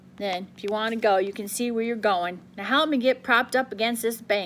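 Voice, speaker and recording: Putting on a character voice, a woman sounds gruff and rumbling at a fairly high pitch with ordinary pitch variation, speaking at a fairly quick pace over clear background noise. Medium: read story. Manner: gruff, grumbling.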